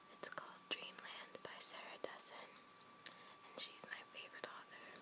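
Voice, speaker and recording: Someone whispers at a moderate pace. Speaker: ASMR content creator. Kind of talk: casual talk to camera. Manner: whispered. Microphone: phone near.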